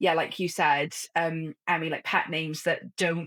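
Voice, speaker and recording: A fairly low-pitched woman with a Welsh accent. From Wales. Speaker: author. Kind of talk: casual chat. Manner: halting.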